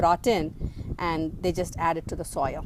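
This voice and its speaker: A woman with an Indian accent speaks at a fairly slow pace. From South India, Andhra Pradesh. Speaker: gardening vlogger. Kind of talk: garden tour tutorial. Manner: halting, many fillers.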